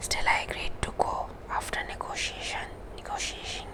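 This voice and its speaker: A woman is whispering at a moderate pace. Noticeable background noise sits behind her. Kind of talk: ASMR book reading, whispered. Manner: whispered, soft-spoken.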